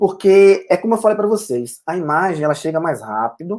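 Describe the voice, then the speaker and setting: The intonation is lively as a man talks in a high voice. His pace is moderate. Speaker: photographer and teacher. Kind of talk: lecture. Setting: live online broadcast. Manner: hesitant, many fillers.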